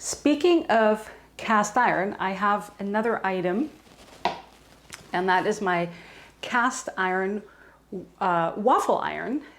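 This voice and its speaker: A woman with a slight German accent speaks at a very slow pace, leaving long, frequent pauses. Her pitch is medium and her intonation lively. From Germany. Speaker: homesteading lifestyle vlogger. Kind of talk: casual tutorial.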